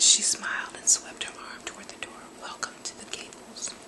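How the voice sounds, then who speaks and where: Whispering at a moderate pace, a woman can be heard over noticeable background noise. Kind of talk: book reading. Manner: whispered; soft-spoken.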